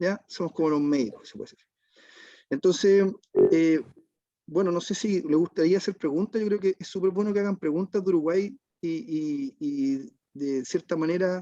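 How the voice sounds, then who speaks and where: The sound is dry and close with no echo as a man with a Chilean accent speaks at a moderate pace. His high pitch carries a dark, mellow tone and ordinary pitch variation. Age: 40s. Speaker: waste management business owner. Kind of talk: online panel discussion. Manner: halting, many repetitions and fillers.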